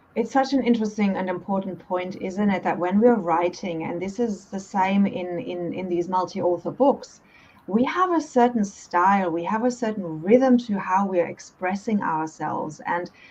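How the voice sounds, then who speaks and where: Noticeable background noise accompanies a woman speaking. She talks at a moderate pace with hardly any pauses. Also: medium pitch for a woman, ordinary pitch variation. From Germany. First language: German. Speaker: author and coach. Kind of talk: interview.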